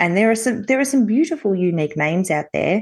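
The intonation is lively, with an Australian accent. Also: woman. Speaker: podcast co-host. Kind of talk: casual chat.

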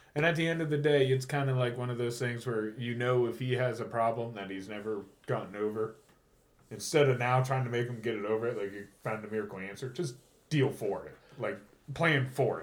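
A man speaks fairly quickly in an ordinary speaking voice, medium in pitch with ordinary pitch variation. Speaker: podcast host. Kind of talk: casual chat. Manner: joking, casual.

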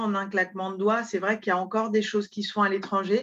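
A woman's medium-pitched voice comes through with a quiet background behind her. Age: 30s. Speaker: online zero-waste shop founder. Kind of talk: interview. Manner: halting, many repetitions and hesitations.

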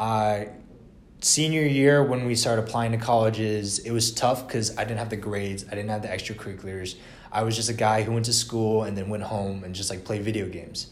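Amid noticeable background noise and audible room echo, a man with an American accent speaks in a fairly low pitch with fairly even intonation. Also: fairly quick pace. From Atlanta, Georgia, US. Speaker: university student. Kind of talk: casual chat.

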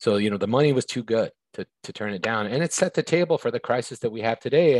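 In a very clean recording with a silent background and a dry, close sound with no echo, a man uses an unremarkable speaking voice at medium pitch, talking at a fairly quick pace with lively intonation. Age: 50s. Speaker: recovery and homelessness advocate. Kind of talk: interview.

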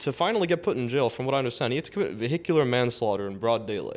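In a Toronto accent, a man with a medium pitch speaks very fast, with ordinary pitch variation. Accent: Toronto Canadian English. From Canada, Toronto (Scarborough). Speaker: university student. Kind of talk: casual chat. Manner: halting, many fillers.

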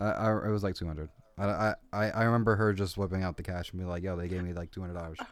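A man's very deep, low voice at a very fast pace with fairly even intonation, on a very clean recording with a silent background. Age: 20s. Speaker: podcast co-host, restaurant worker. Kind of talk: casual chat. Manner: hesitant, halting.

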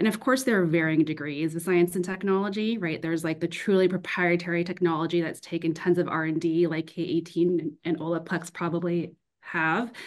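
This woman has a normal speaking voice with a fairly low pitch and fairly even intonation. She talks at a fairly quick pace with hardly any pauses. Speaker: consumer goods growth consultant. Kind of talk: panel discussion.

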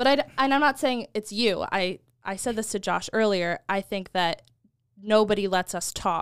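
With an American accent, a woman with an unremarkable speaking voice talks at a medium pitch and moderate pace with ordinary pitch variation, in a very clean recording with a silent background and a dry, close sound with no echo. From United States. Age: 20s. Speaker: marketing and social media worker. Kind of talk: casual chat.

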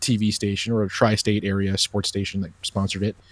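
Fairly low in pitch, a man speaks at a fairly quick pace in a plain, everyday voice. The sound is dry and close with no echo, on a very clean recording with a silent background. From Long Island, New York. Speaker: sports radio broadcaster. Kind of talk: casual chat.

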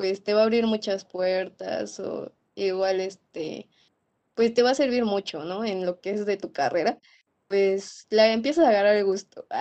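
A woman with an unremarkable speaking voice, medium in pitch with ordinary variation, at a fairly slow pace. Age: 20s. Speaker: veterinary student. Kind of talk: interview.

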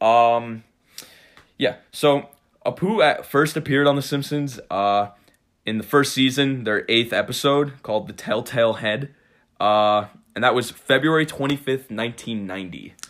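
With an American accent, a man speaks in an ordinary speaking voice at a moderate pace and medium pitch, with ordinary pitch variation, in a very clean recording with a silent background. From New York, Cold Spring (Hudson Valley). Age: 20s. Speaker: podcast host, college student. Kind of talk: casual chat.

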